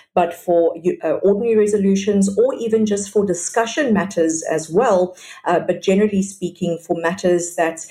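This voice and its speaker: Pitch varies in an ordinary way while the words come out somewhat quickly. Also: woman. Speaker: sectional title property expert. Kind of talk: interview on property law. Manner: fast.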